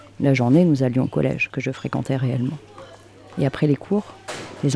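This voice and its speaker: Noticeable background noise runs under the clip. The speech moves at a fairly quick pace. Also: long, frequent pauses. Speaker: podcast host, narrator. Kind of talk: literary narration, reflective scripted monologue. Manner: soft, intimate, measured.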